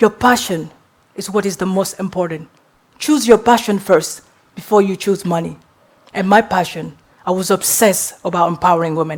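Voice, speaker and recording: At a moderate pace, a woman with a non-native accent talks at a medium pitch. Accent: noticeable foreign. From Guinea, West Africa. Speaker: entrepreneur and public speaker. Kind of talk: motivational talk. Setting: stage with audience.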